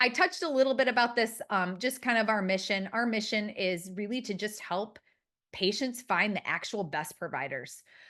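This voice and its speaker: Against a quiet background, a woman with a Midwestern American accent speaks in a fairly high voice with a bright, sharp tone. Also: lively intonation, moderate pace. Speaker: marketing consultant. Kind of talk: webinar presentation. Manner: casual, filler-heavy.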